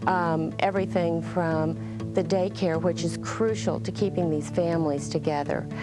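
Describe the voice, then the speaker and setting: Music in the background behind a woman's moderately paced speech. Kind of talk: interview answer. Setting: studio.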